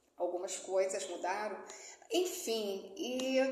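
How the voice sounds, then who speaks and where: Audible room echo and noticeable background noise around a woman speaking. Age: 60s. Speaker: motivational YouTuber and author. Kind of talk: casual personal vlog talk. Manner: conversational, many fillers.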